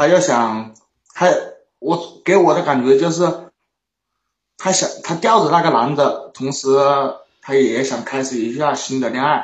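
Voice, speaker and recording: With audible room echo, a somewhat breathy man of fairly high pitch speaks at a fairly slow pace with ordinary pitch variation and long, frequent pauses. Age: 20s. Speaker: caller seeking relationship advice. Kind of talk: call-in conversation.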